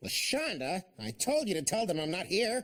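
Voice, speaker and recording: Cartoonish character voice from a man, high in pitch with very wide pitch swings, at a moderate pace. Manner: hesitant.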